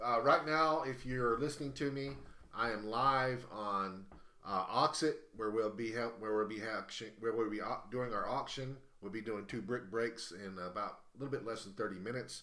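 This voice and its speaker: Recorded with audible room echo, a man with an American accent speaks at a moderate pace with ordinary pitch variation and a bright, sharp tone. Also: medium pitch for a man. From US South. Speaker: live-stream host and auctioneer. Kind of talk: casual live-stream chat. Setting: live stream from a game cafe. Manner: halting, many fillers and restarts.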